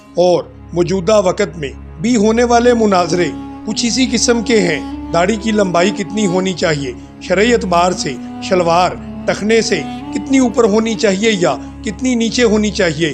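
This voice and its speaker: The pitch varies in an ordinary way. Behind the voice, music is playing. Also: man, high pitch for a man. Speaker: Islamic speaker, writer and educationist. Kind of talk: Islamic motivational sermon.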